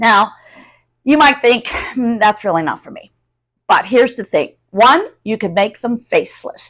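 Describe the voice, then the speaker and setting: A woman with a plain, everyday voice speaks at a fairly slow pace in a fairly high pitch, with lively intonation and big swings in loudness. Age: 60s. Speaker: YouTube content creator. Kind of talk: casual tutorial to camera. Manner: conversational.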